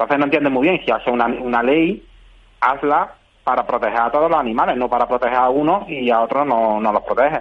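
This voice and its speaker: The voice moves at a very fast pace, with very even loudness and ordinary pitch variation. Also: man, medium pitch for a man. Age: 40s. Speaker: party spokesperson. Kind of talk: radio interview. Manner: halting.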